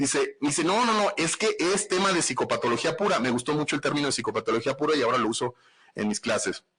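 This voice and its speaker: A man with a northern Mexican accent talks at a very fast pace. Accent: northern Mexican Spanish (Sonora). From Mexico, Sonora (Nogales). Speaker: forensic psychologist. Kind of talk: podcast livestream talk. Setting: live stream. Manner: casual, blunt.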